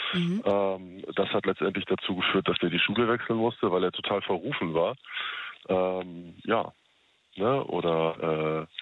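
A man's very deep, low voice at a fairly slow pace, with very even loudness. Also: ordinary pitch variation. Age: 30s. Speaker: radio call-in listener. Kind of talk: casual phone chat.

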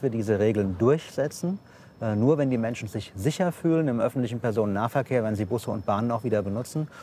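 A man rattles along at a very fast pace, his medium pitch showing ordinary pitch variation. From Hesse, Offenbach. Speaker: state government minister. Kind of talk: political interview. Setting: outdoors at a railway construction site.

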